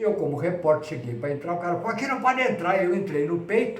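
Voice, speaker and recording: The recording carries noticeable background noise and audible room echo. Through it, a man talks. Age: 70s. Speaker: retired sports journalist. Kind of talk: casual interview.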